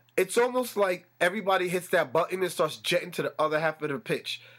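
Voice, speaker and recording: A man speaks with lively intonation. His tone is animated. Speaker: podcast host. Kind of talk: solo sports commentary podcast. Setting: room with a fan running.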